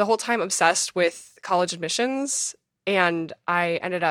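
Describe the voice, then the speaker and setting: In a very clean recording with a silent background and a dry, close sound with no echo, a woman with an American accent speaks at a moderate pace in a bright, sharp tone, her pitch fairly low with ordinary variation. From Minnesota. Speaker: memoirist and former foster youth. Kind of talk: interview.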